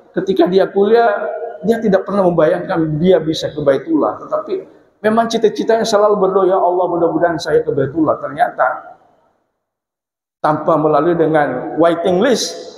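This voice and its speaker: Audible room echo surrounds a man speaking at a moderate pace, his pitch high with ordinary variation. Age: 50s. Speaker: preacher. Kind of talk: sermon. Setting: mosque.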